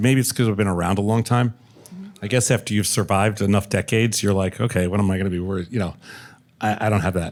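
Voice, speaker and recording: Fairly low in pitch, a man talks with ordinary pitch variation. It is an ordinary speaking voice. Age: 60s. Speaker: entrepreneur and investor. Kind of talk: panel discussion.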